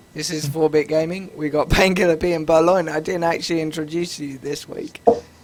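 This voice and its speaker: A man talks at a fairly quick pace in a fairly high voice with monotone, flat intonation. Noticeable background noise is present. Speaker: gaming podcast host. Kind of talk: casual chat.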